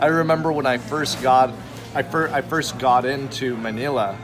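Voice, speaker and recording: Music plays in the background as a man speaks fairly slowly at a medium pitch with ordinary pitch variation. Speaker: Uber driver. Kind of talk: casual conversation over lunch.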